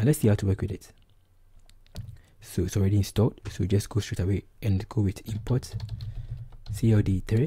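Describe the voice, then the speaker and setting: A man speaks with a Ghanaian accent at a fairly low pitch. His dark, mellow tone is somewhat breathy, with fairly even intonation. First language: Twi. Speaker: programming tutor. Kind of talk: tutorial.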